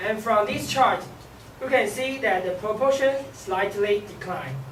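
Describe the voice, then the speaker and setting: The speech moves at a fairly slow pace, with noticeable background noise underneath. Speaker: student presenter. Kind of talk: class presentation.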